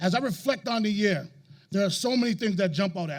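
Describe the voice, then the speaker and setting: The speaker is a man. His voice sits high in pitch. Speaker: high school principal. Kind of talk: commencement speech. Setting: stage with audience. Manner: fast.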